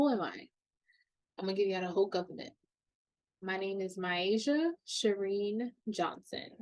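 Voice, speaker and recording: Animated in tone, a woman speaks at a moderate pace and medium pitch with lively intonation and long, frequent pauses. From New York, Queens. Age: 20s. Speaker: podcast host. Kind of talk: casual personal podcast monologue.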